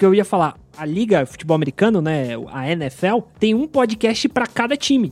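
With music in the background, a man speaks at a moderate pace in a dry, close sound with no echo, his high pitch making very wide swings. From São Paulo city, Brazil. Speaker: podcast industry professional. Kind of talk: casual interview chat.

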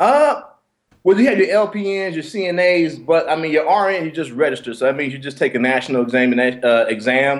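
A man with an unremarkable speaking voice, fairly high in pitch, at a fairly quick pace. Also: lively intonation. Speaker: military veteran. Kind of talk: casual chat. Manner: laughs often.

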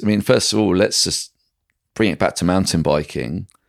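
This man's voice has vocal fry as he speaks at a moderate pace. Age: 40s. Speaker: strength and fitness coach. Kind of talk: casual interview chat.

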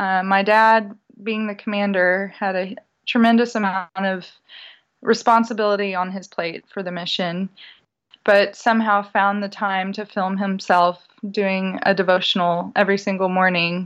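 A woman with an American accent, medium pitch and flat, monotone intonation, against a quiet background. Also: moderate pace. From Houston, Texas. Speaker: singer and speaker. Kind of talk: casual interview sharing personal story.

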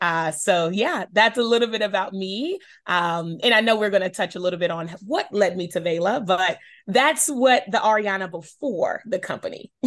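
Speaking at a moderate pace with an American accent, a woman uses an ordinary speaking voice and lively intonation over a quiet background. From Charlotte, North Carolina. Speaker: shoe company founder. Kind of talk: interview.

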